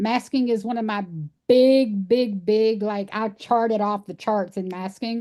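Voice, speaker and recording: Over a quiet background, a woman with a Texas accent speaks at a fairly slow pace with fairly even intonation. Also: fairly high pitch for a woman. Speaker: animal sanctuary founder. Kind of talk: podcast interview.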